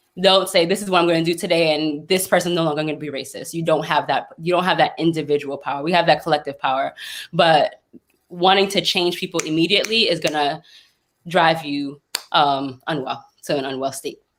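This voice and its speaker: A fairly quick pace with fairly even intonation. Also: woman, fairly low pitch for a woman. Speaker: mental health speaker. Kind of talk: panel discussion. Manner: loud; talkative.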